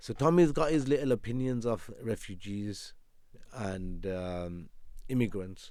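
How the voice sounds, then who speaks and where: With a dark, mellow tone and lively intonation, a man talks at a fairly slow pace in a fairly low pitch. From England, West Midlands. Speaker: criminal defence lawyer. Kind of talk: podcast interview.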